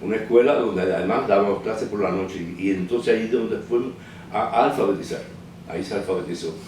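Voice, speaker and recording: A man with a fairly low pitch talks at a very fast pace with ordinary pitch variation, amid audible room echo and noticeable background noise. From Cuba, Holguín province. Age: 70s. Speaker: documentary filmmaker. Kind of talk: interview testimony. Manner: halting, with fillers and repetitions.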